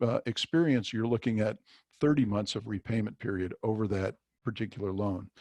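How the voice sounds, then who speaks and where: At a fairly quick pace, a man with a normal speaking voice talks at a fairly low pitch with ordinary pitch variation, sounding dry and close with no echo. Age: 60s. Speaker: business advisor. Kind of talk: webinar presentation. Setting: webinar.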